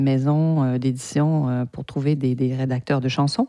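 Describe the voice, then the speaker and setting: Her very deep, low voice has a dark, mellow tone and fairly even intonation at a fairly slow pace. The woman's sound is dry and close, with no echo. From French Canada. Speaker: podcast host, PR agency owner. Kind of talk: podcast monologue. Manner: hesitant, many repeated words.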